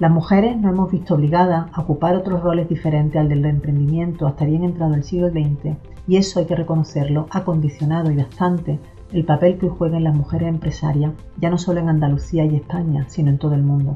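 Faint music plays behind a woman with a very deep, low pitch who talks at a very fast pace with fairly even intonation and very even loudness. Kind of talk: formal address. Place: office. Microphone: camera far.

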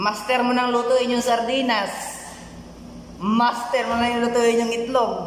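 A man speaking fairly slowly with long, frequent pauses, some room echo audible and light background noise behind him. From Philippines. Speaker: vlogger. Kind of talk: casual vlog monologue. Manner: animated. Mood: playful, joking. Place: home room. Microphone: phone near.

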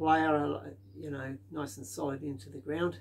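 At a fairly slow pace, a man talks in a somewhat breathy voice. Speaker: DIY builder vlogger. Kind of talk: casual vlog chat. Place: workshop.

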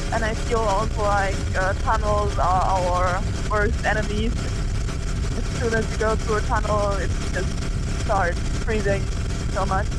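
Loud background noise sits behind dry, echo-free speech at a fairly slow pace with long, frequent pauses. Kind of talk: casual vlog chat. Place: motorbike. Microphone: helmet.

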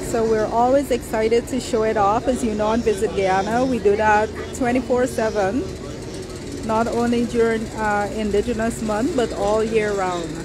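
A woman speaks at a moderate pace. The sound is dry with no echo, though there is noticeable background noise. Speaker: livestream host. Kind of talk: casual vlog chat. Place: market. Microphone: phone near.

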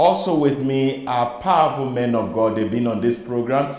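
A man talks with ordinary pitch variation at a moderate pace. Room echo is audible around him. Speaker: Sunday school program host. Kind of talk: religious teaching program introduction. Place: studio. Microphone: lapel.

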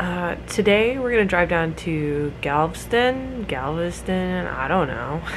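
Noticeable background noise sits behind a woman's voice. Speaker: vlogger. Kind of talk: casual vlog chat. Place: home room. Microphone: phone near.

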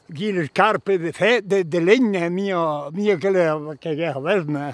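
Against a quiet background, a man with a Lombard accent talks in a high pitch with ordinary pitch variation, the sound dry with no echo. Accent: Brescian dialect. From Northern Italy, Brescia area. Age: old. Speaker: mountain farmer. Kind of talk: interview answer. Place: open country.

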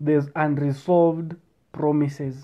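A man is talking. Nothing much stirs in the background. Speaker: speaker. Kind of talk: casual advice talk. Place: home room. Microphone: earbuds.

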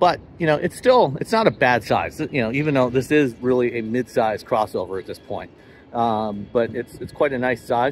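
Music plays in the background as a man speaks at a moderate pace. His pitch varies in an ordinary way, and the sound is dry with no echo. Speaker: auto journalist. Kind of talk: commentary. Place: street. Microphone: phone near.

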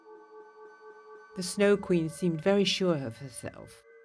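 Natural-voiced reading aloud

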